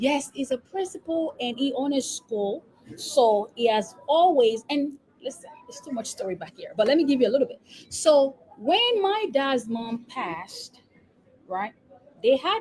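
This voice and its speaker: A woman with a Nigerian accent talks at a moderate pace in a high pitch, with very wide pitch swings, big swings in loudness, and noticeable background noise. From Nigeria, Lagos. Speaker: epidemiologist and business coach. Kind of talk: interview. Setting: live stream.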